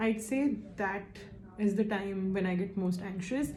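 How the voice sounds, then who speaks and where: Somewhat breathy and dark, mellow in tone, a woman speaks at a medium pitch and a fairly slow pace. Audible room echo surrounds her voice. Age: 20s. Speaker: survey respondent, admissions consultant. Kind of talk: interview answers to a questionnaire. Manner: hesitant, with fillers.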